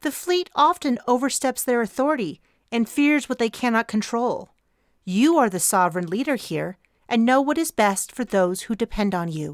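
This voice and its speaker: A female-sounding, robotic put-on character voice speaks at a fairly high pitch and moderate pace. The recording is very clean, with a silent background. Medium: read story. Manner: formal, deliberate.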